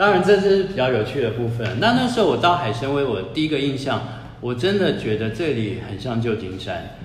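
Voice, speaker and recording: A man with a medium pitch speaks at a fairly quick pace, his pitch swinging very widely. Audible room echo and noticeable background noise surround him. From Taiwan, Taipei. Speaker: author and former worker in Russia. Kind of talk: casual chat.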